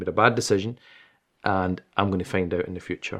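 Against a quiet background, a man with a Glaswegian accent speaks at a moderate pace. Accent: Glaswegian Scottish. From Scotland, Glasgow. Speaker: Islamic scholar. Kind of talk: interview.

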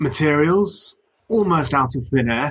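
A man talks with a British accent. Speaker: podcast host. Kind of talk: podcast interview.

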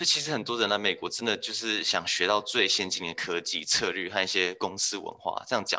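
Noticeable background noise sits behind a man with a fairly low voice. He talks at a fairly quick pace with hardly any pauses and ordinary pitch variation. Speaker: management consultant. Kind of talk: interview. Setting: remote call.

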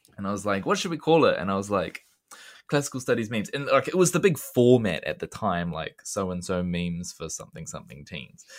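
The speaker has a New Zealand accent and talks at a fairly quick pace with very wide pitch swings. Music plays in the background. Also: man. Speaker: secondary school teacher and classics meme creator. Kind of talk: casual chat.

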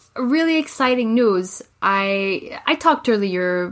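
The recording is very clean, with a silent background. A woman speaks in a French accent. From Quebec, Montreal suburbs. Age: 20s. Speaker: podcast co-host. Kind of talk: casual chat.

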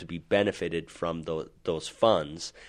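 A man with a Utah accent, very deep, low pitch and fairly even intonation, on a very clean recording with a silent background. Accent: General American (Utah). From Utah, Salt Lake City. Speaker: life insurance advisor. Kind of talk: interview on a finance podcast. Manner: halting, many fillers.

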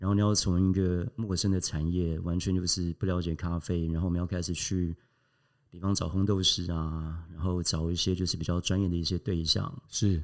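A man with a very deep, low pitch speaks at a moderate pace in a monotone, flat intonation, captured in a very clean recording with a silent background. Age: 40s. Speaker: coffee company founder and hotel executive. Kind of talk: interview conversation.

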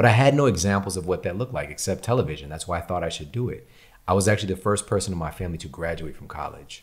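In a very clean recording with a silent background, a man with a very deep, low pitch talks at a very fast pace, somewhat breathy, with lively intonation and big swings in loudness. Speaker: podcast host and author. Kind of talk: casual interview conversation. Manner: animated, conversational.

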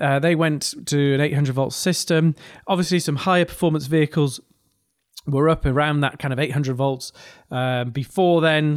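Fairly quick speech with fairly even intonation on a very clean recording with a silent background. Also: man. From northeast England. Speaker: podcast host, engineer and business leader. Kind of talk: podcast monologue.

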